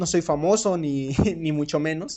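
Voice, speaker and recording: With a Mexican accent, a man talks using ordinary pitch variation. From Mexico. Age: 20s. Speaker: podcast host. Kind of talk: solo podcast monologue. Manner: hesitant, many fillers and repetitions.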